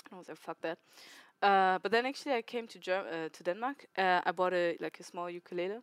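On a very clean recording with a silent background and a dry, close sound with no echo, a woman speaks very fast at a medium pitch with ordinary pitch variation. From Germany. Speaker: volunteer at music project. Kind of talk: casual interview chat. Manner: talkative, playful.

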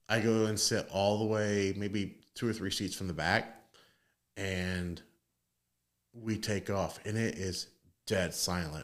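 Fairly low male voice, very slow pace, long, frequent pauses, fairly even intonation, very clean recording, silent background. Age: 30s. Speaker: podcast co-host. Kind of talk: casual chat.

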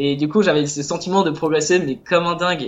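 A man has an unremarkable speaking voice. He talks at a moderate pace with fairly even intonation. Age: 20s. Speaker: illustrator and self-published game author. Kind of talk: casual interview.

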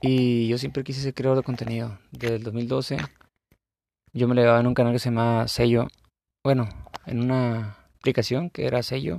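A man with a dark, mellow tone talks at a moderate pace and medium pitch, his intonation fairly even, broken by long, frequent pauses. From Baja California Sur, Mexico. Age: 30s. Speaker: gaming content creator. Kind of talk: casual monologue. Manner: halting.

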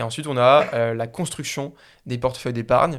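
On a very clean recording with a silent background, a man talks at a fairly quick pace with fairly even intonation and a medium pitch. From Paris area, France. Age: 20s. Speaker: startup founder. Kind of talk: interview. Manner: hesitant, many fillers and repeats.

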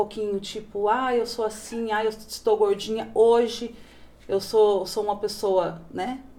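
Her voice is fairly high in pitch for a woman, with a dark, mellow tone. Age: 40s. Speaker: manicure and plus-size model. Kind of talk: casual interview. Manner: animated.

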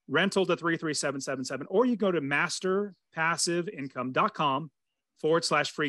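In a dry, close sound with no echo, a man speaks at a fairly quick pace in a bright, sharp, enthusiastic tone with ordinary pitch variation. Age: 40s. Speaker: real estate investor and coach. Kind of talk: podcast interview.

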